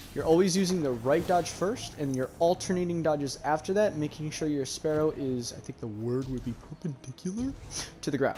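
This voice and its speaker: A man talks at a fairly quick pace with a fairly high pitch and ordinary pitch variation. His tone is dark and mellow, and somewhat breathy. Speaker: gaming tutorial creator. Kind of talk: gameplay tutorial. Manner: casual.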